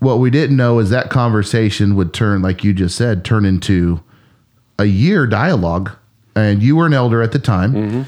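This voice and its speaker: Using an ordinary speaking voice, a man talks at a moderate pace with a fairly low pitch, ordinary pitch variation, and very even loudness. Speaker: pastor. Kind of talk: casual chat.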